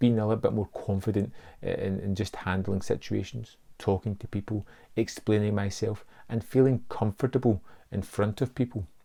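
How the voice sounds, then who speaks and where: Dark, mellow tone, somewhat breathy, with fairly even intonation on a very clean recording with a silent background. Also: man, fairly low pitch for a man, moderate pace. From Scotland. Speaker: film YouTuber. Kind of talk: casual vlog monologue. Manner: hesitant, with repetitions.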